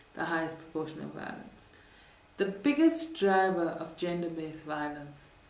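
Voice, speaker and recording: Room echo can be heard in this clip. The woman's pace is moderate. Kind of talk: interview answer. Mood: serious, earnest. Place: office.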